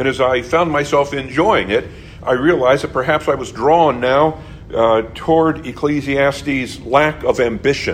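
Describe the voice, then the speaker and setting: Noticeable background noise and audible room echo accompany speech at a moderate pace. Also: man. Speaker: pastor. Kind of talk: sermon. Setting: church. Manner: halting.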